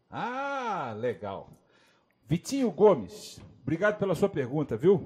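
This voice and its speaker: Speaking at a very slow pace with long, frequent pauses, a man with a high voice swings his pitch very widely over a very clean recording and silent background. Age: 40s. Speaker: drummer and music educator. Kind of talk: casual interview on a live stream.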